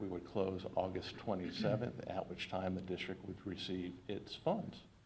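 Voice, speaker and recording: A man's fairly low-pitched voice with audible room echo. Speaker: financial advisor presenting bond sale. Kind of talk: formal presentation to school board. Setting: public school board meeting. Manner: fast.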